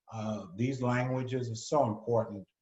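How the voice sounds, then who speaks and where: A man with a New York accent speaks at a medium pitch. His voice is somewhat breathy. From New York City. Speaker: retired ambassador. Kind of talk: moderated discussion.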